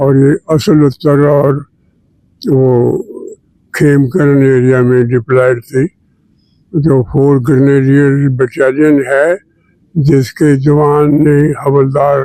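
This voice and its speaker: A man with a fairly high pitch speaks in a flat monotone, his tone dark and mellow at a very even loudness. Long pauses come often, and the sound is dry and close with no echo. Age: 90s. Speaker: retired army general. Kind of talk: interview.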